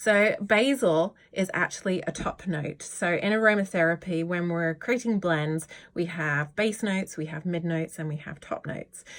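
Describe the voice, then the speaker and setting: Speaking with a British accent, a woman uses a fairly low pitch with ordinary pitch variation in a very clean recording with a silent background. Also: moderate pace. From Britain. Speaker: yoga teacher and essential oil educator. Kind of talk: informal tutorial video. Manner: warm, chatty.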